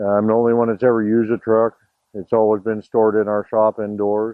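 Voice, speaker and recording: Monotone and flat in intonation, a man with a fairly low pitch talks at a moderate pace. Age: 60s. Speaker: small business owner selling his truck. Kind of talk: casual testimonial interview. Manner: hesitant, many fillers.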